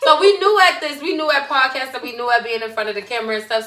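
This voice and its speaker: A woman with a Brooklyn accent speaks at a fairly high pitch, her voice swinging very widely in pitch. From Brooklyn, New York. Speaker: podcast co-host. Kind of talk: casual chat.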